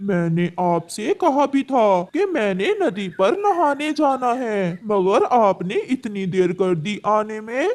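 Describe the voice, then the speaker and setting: A fairly slow, cartoonish character voice at fairly high pitch, with hardly any pauses. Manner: meek, soft-spoken.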